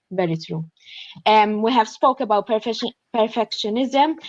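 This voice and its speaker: With a Maltese accent, a woman speaks fairly slowly at a fairly high pitch, with ordinary pitch variation. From Malta. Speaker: graduate student. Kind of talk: panel discussion.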